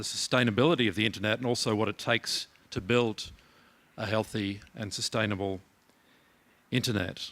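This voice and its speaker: A man with an Australian accent, bright, sharp tone, dry, close sound with no echo, and a very clean recording over a silent background. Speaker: keynote speaker, internet organization head. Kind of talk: conference keynote speech. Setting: conference hall with audience. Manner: halting, many fillers and repeats.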